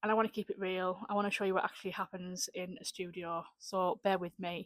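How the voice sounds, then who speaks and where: A woman's medium-pitched, monotone, flat delivery at a fairly quick pace, dry and close with no echo. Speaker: small business owner and vlogger. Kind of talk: casual vlog talk to camera. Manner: occasionally tongue-tied.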